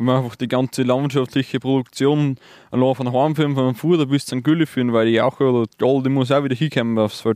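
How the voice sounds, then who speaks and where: A man, medium in pitch, with a dark, mellow tone, monotone and flat, at a very fast pace in a dry, close sound with no echo and a quiet background. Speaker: farmer. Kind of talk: interview.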